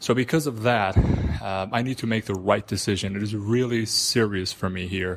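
Over noticeable background noise, a man with a fairly low pitch speaks at a moderate pace, with ordinary pitch variation and hardly any pauses. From Iran. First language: Persian. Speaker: listener sending a voice question. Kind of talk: recorded voice message.

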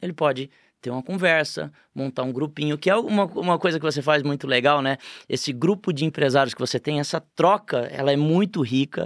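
A man with a plain, everyday voice speaks at a fairly high pitch and fairly quick pace, with ordinary pitch variation and a dry, close sound with no echo. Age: 40s. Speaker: franchise company CEO. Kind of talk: casual interview chat.

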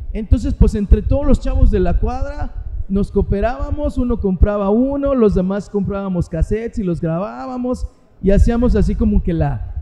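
Noticeable background noise sits behind a man talking. His intonation is lively and his pace moderate. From Mexico City (Azcapotzalco). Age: 50s. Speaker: rock singer. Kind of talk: casual interview. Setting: live event venue.

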